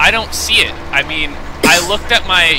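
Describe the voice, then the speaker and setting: A man speaks with ordinary pitch variation as music plays in the background. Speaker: gaming streamer. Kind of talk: casual chat. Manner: loud; halting.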